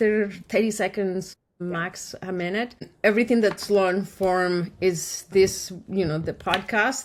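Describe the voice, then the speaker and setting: A woman speaks in a Spanish accent at a medium pitch. Her pace is very slow, with fairly even intonation. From Colombia. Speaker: podcast host and marketing agency owner. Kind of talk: casual podcast interview.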